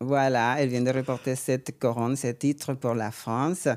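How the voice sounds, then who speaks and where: In a very clean recording with a silent background, a woman with a Venezuelan accent speaks at a moderate pace in a very deep, low pitch. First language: Spanish (speaking French). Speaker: podcast host, beauty pageant director. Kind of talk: interview. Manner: halting.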